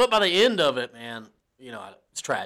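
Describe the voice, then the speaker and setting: A man with an American accent, lively intonation and a bright, sharp tone, on a very clean recording with a silent background. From US South. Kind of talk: casual chat.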